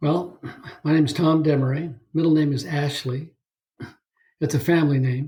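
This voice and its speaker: With an American accent, a man talks in a fairly high, somewhat breathy voice with a dark, mellow tone and fairly even intonation. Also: moderate pace. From Northern California (Bay Area, Saratoga). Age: 70s. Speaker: podcast guest, ocean swimmer. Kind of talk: casual interview chat. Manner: halting with fillers.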